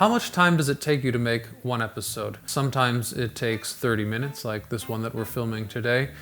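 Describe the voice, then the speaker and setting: With an American accent, a man speaks in a normal speaking voice at a medium pitch, with ordinary pitch variation, a fairly quick pace and hardly any pauses. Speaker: YouTube host. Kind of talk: casual Q&A monologue.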